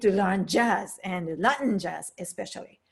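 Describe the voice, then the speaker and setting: A woman speaks at a fairly slow pace with lively intonation and a Japanese accent. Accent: Japanese accent, noticeable. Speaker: piano teacher. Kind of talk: online piano lesson, personal story.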